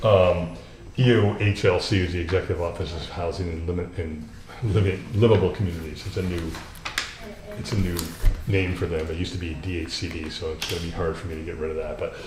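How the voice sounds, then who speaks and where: A man's very deep, low voice at a very fast pace, with fairly even intonation, audible room echo and noticeable background noise. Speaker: grant administrator. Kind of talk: presentation at a town board meeting. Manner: halting, many fillers.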